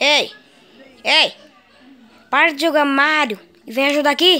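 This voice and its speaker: A woman performs a put-on character voice at a high pitch. She raises and projects her voice. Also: moderate pace. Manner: shouting, annoyed.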